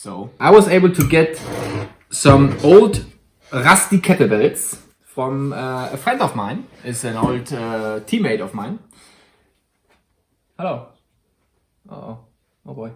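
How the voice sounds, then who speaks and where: Fairly slow, somewhat breathy speech in a German accent, with long, frequent pauses, very wide pitch swings and big swings in loudness. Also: man. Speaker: YouTuber. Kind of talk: tutorial; casual chat. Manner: halting.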